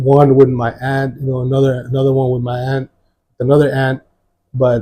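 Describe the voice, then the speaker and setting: Somewhat breathy, dark and mellow speech from a man at medium pitch and a moderate pace. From Mexico, moved to San Antonio west side at 11. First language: Spanish. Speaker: former gang member, church testimony guest. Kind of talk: testimony interview. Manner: halting, many fillers and repeats.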